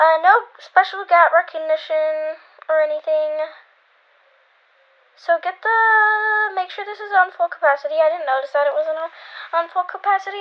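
A woman with an extremely high pitch talks at a moderate pace, with ordinary pitch variation and long, frequent pauses. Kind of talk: casual tutorial voiceover. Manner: casual, hesitant.

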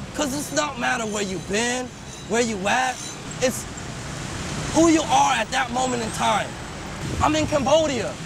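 A man talks at a moderate pace in an American accent, with long, frequent pauses. The sound is dry with no echo, and there is noticeable background noise. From US West Coast, California. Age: 30s. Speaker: spoken word artist. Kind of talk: personal video message; casual thank-you message to viewers. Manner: earnest. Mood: warm, grateful. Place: street.

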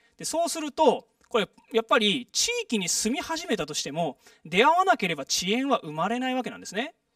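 Over a quiet background, a man talks at a fairly quick pace in an extremely high pitch, with very wide pitch swings, big swings in loudness and a dry sound with no echo. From Japan, Saitama. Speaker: public lecturer, former residents' association official; guest lecturer. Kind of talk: lecture. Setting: stage with audience. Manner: frequent filler words. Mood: friendly, smiling. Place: hall.

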